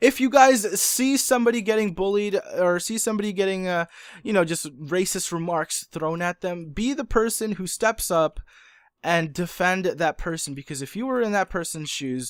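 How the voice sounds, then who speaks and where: A man's high-pitched voice at a moderate pace, on a very clean recording with a silent background. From moved to US as child, grew up in Massachusetts. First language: not English. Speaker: gaming youtuber. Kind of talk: casual monologue to viewers. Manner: earnest, halting with fillers. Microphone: condenser studio mic.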